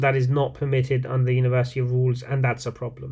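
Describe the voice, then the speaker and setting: A man with a non-native accent talks at a fairly quick pace. His medium-pitched voice is somewhat breathy. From outside the UK. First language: not English. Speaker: university lecturer. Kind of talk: lecture. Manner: hesitant, many fillers.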